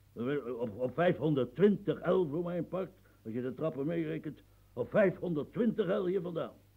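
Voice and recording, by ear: A man's put-on character voice, slightly husky at the edges and with vocal fry, lively intonation and a moderate pace. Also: fairly high pitch for a man.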